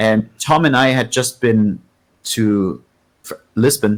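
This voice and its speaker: A man's medium-pitched voice with a German accent. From East Germany. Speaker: guitarist and singer. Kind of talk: casual interview chat.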